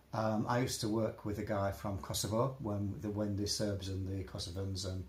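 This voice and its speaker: A somewhat breathy man with a Yorkshire accent, fairly low-pitched, at a moderate pace with fairly even intonation and audible room echo. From Yorkshire, northern England. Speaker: interviewee on discrimination. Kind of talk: casual interview. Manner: halting, repetitive.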